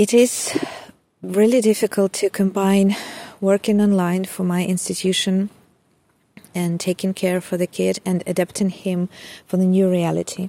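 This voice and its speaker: In a Ukrainian accent, the dark, mellow voice stays flat and monotone at a moderate pace, broken by long, frequent pauses, with a dry, close sound and no echo. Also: woman, medium pitch for a woman. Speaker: refugee mother. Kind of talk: personal testimony. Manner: hesitant, many fillers.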